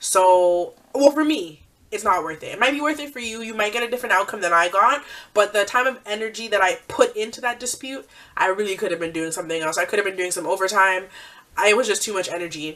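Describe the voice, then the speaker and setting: Over noticeable background noise, a woman talks at a very fast pace with lively intonation and big swings in loudness. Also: medium pitch for a woman. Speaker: beauty vlogger. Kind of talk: product review. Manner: rambling.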